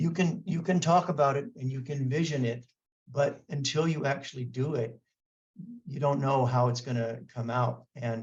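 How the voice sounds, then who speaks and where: Somewhat breathy speech at a moderate pace. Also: man. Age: 60s. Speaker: martial arts scholar. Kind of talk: interview. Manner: halting, many fillers and restarts.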